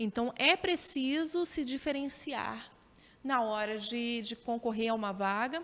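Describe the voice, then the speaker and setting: Her intonation is lively. This woman has a high pitch. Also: fairly slow pace. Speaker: TV journalist and presenter. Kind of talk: interview answers. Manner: hesitant, with repetitions and frequent tag questions.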